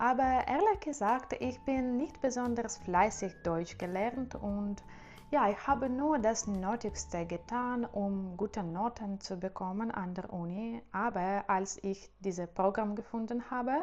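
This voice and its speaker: Speaking very slowly, this woman uses a medium pitch. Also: ordinary pitch variation. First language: Russian and Ukrainian (speaking German). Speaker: language-learning youtuber. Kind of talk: casual vlog monologue. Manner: halting, many fillers.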